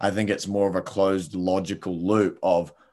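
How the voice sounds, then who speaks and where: Against a quiet background, a man with a New Zealand accent and a very deep, low pitch speaks at a fairly slow pace. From New Zealand, Palmerston North. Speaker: entrepreneur. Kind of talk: casual interview.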